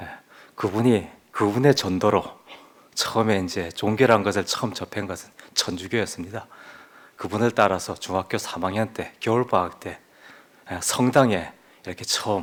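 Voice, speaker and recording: Long, frequent pauses break up a man's moderate-paced speech, which has a fairly low pitch, ordinary pitch variation and big swings in loudness. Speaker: lay church member giving a testimony. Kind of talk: testimony. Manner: forceful, sometimes raises voice.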